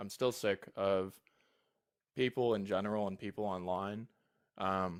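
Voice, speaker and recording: In a very clean recording with a silent background and a dry, close sound with no echo, a man speaks at a fairly slow pace with a fairly low pitch, monotone, flat intonation, and long, frequent pauses. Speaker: caller, philosophy student. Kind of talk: casual debate chat. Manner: soft-spoken; sounds accidentally condescending.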